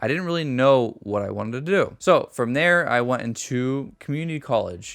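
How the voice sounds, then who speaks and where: Someone with an American accent speaks at a moderate pace, showing ordinary pitch variation. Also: man. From US West Coast, San Francisco Bay Area. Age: 20s. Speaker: youtuber. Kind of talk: vlog monologue. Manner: casual with frequent filler ums.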